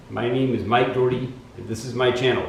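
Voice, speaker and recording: A man's medium-pitched voice is heard with audible room echo and noticeable background noise. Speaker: vlogger with a genetic disease. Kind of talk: casual vlog monologue. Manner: hesitant, many fillers.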